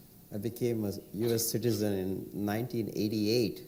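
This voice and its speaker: A man speaks at a fairly slow pace with a dark, mellow tone. There is audible room echo. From India. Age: 60s. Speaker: entrepreneur. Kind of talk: panel discussion.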